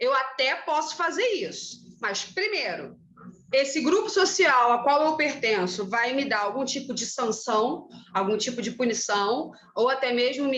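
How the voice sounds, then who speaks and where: A high-pitched woman speaks at a moderate pace with very wide pitch swings, and audible room echo surrounds her voice. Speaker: teacher. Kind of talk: lecture. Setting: classroom, recorded class.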